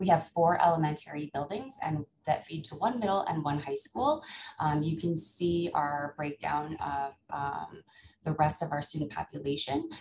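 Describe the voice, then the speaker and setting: A woman with an American accent speaks in a very deep, low pitch with a somewhat breathy voice. Her pace is moderate with ordinary pitch variation, over noticeable background noise. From upstate New York. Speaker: elementary school principal. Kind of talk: conference presentation. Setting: video call. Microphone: video call.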